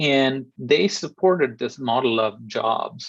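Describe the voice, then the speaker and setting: In a Kerala accent, a man speaks with ordinary pitch variation. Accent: Malayali. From India, Kerala. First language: Malayalam. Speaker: invited lecturer on cloud computing. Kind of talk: webinar lecture. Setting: online webinar. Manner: frequent fillers, conversational.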